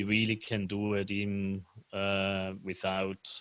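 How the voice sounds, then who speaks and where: On a very clean recording with a silent background, a man with a Swiss German accent speaks at a fairly low pitch in a bright, sharp tone. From Switzerland, German-speaking part (Lucerne). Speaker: commercial real estate financier. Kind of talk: casual chat. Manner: halting, many fillers.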